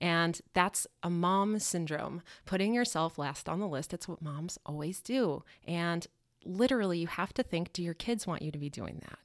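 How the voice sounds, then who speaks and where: A woman with an ordinary speaking voice, fairly low pitch and ordinary pitch variation, at a moderate pace in a very clean recording with a silent background. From Colorado. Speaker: portrait photographer and storm chaser. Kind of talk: casual interview. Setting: studio.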